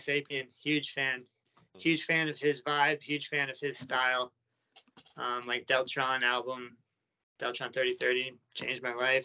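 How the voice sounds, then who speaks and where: Here is a man with a plain, everyday voice. He speaks with an American accent. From United States. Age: 40s. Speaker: leather goods artisan and brand owner. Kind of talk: casual interview.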